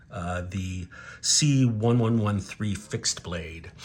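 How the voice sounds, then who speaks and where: A man's voice amid noticeable background noise. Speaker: knife reviewer. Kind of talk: casual product review to camera.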